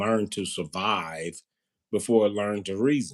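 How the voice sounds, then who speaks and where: A man with a fairly low pitch speaks at a moderate pace with fairly even intonation. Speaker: behavioral health clinician. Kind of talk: casual conversation on a live stream. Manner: soft-spoken; hesitant with fillers.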